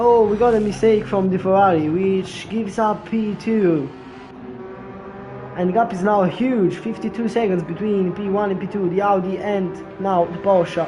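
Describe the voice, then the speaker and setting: A high-pitched man at a moderate pace with fairly even intonation, with audible room echo and noticeable background noise. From Italy. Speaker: sim racing commentator. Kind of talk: live commentary.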